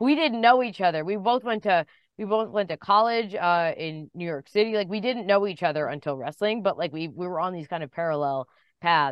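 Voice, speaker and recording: At a fairly quick pace, a woman with a plain, everyday voice speaks at a medium pitch with lively intonation. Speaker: pro wrestling commentator. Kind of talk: casual interview. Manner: chatty, rambling, self-deprecating.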